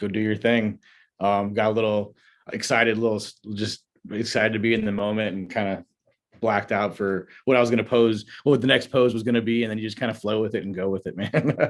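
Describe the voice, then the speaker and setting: With an American accent and an ordinary speaking voice, a man talks at a fairly quick pace and medium pitch. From US Midwest, North Chicago. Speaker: bodybuilder and business owner. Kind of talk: casual interview chat.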